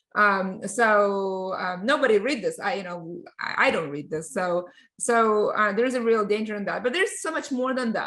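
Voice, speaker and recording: A woman with a Russian accent speaks at a fairly high pitch in a bright, sharp tone. Her intonation is lively, and the background is quiet. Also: hardly any pauses. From Russia (born in Ukraine). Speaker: tech company CEO and lawyer. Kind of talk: podcast interview. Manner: halting with many fillers.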